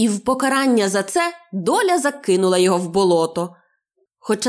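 An unforced reading voice, lively in its intonation, comes through over a quiet background.

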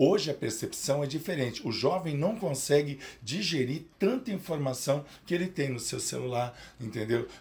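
A man with a fairly high pitch sounds somewhat breathy, with lively intonation. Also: moderate pace. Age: 50s. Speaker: psychoanalyst. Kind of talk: interview.

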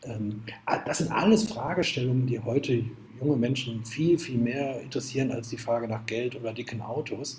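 The voice moves at a moderate pace with ordinary pitch variation. Audible room echo and noticeable background noise are present. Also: man, medium pitch for a man. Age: 50s. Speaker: entrepreneur and author. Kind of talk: interview.

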